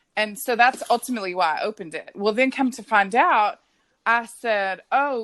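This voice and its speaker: Her fairly high voice carries lively intonation as this woman speaks. The background stays quiet. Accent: Texan. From West Texas. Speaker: podcast guest. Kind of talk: casual chat. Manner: animated.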